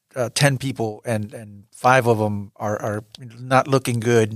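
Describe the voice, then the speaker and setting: A man's plain, everyday voice at medium pitch, with fairly even intonation and a dry, close sound with no echo. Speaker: podcast host and editor. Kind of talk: interview.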